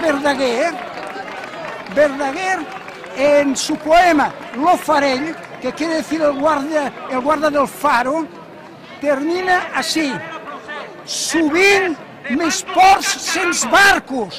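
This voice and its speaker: Over crowd noise in the background, the speaker goes very slowly, with long, frequent pauses. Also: man. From Barcelona, Spain. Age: 80s+. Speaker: retired civil servant and teacher. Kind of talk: street interview answer.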